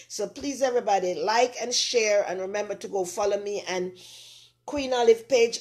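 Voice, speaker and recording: A woman with a Jamaican accent talks at a fairly quick pace in a medium pitch. Her intonation is lively. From Jamaica, rural Saint Mary parish. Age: 60s. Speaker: online talk show host. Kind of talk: casual live-stream chat. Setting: home kitchen live stream.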